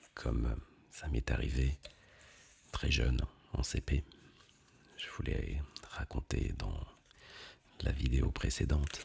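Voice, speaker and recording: A man whispering in a calm tone at a very slow pace, with long, frequent pauses. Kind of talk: ASMR talk to camera. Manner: soft-spoken, between whisper and normal voice; slow, calm.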